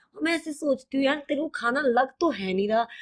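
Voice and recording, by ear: Here a woman speaks with a high pitch. Her intonation is lively. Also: fairly quick pace.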